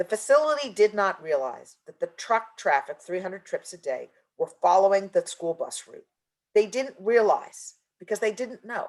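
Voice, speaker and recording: The woman's loudness swings widely. The sound is dry and close, with no echo. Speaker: environmental justice consultant. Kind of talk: webinar presentation. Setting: virtual conference. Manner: fast.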